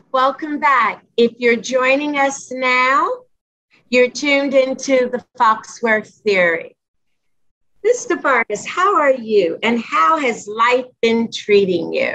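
Her voice raised and projected, a woman speaks at a very slow pace in a high pitch, with lively intonation and a bright, sharp tone. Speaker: talk show host. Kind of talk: interview hosting.

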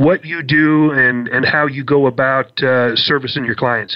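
With an unremarkable speaking voice, a man speaks at a moderate pace in a fairly high pitch with hardly any pauses. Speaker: radio host. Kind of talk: radio interview.

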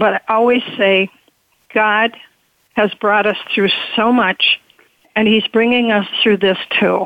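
A woman at a fairly slow pace, with monotone, flat intonation, very even loudness, and long, frequent pauses. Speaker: memoir author. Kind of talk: interview.

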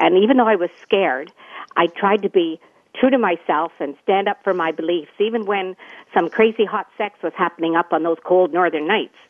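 A woman with a Canadian accent speaks at a fairly quick pace in an unremarkable speaking voice. Her pitch varies in an ordinary way. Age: 60s. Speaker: retired nurse and wellness coach. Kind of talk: interview.

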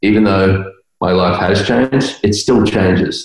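With an Australian accent, a man talks at a fairly low pitch and a fairly even intonation while music plays in the background. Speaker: guest.

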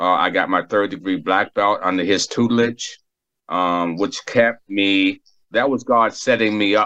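The voice has a bright, sharp tone and an American accent. The pace is moderate. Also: man. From Boston, Massachusetts. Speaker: recovering addict and skater. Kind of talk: testimony.

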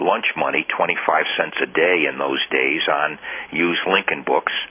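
The man speaks at a fairly slow pace. Background noise is noticeable throughout. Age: 60s. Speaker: judge and historian. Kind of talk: interview.

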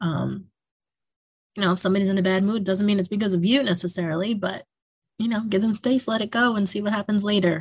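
With a New York accent, a woman speaks at a fairly quick pace in a medium pitch, somewhat breathy, with ordinary pitch variation. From New York, Yonkers. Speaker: school principal. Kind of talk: interview.

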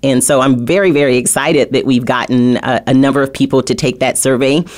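Her intonation is fairly even. The woman's pitch is very deep and low. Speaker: radio talk show host. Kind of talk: talk radio interview.

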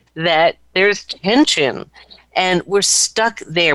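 A woman speaks with ordinary pitch variation. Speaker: performance and psychology coach. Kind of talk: interview on a radio talk show.

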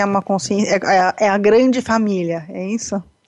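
In a Brazilian accent, a woman with a medium pitch and a dark, mellow tone talks at a fairly slow pace with fairly even intonation. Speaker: radio host and coach. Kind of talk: interview.

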